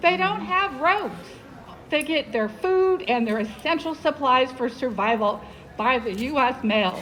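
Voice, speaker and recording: A woman's high-pitched voice with lively intonation at a moderate pace, over noticeable background noise. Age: 70s. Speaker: healthcare worker. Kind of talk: rally speech. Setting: outdoor rally in front of a post office.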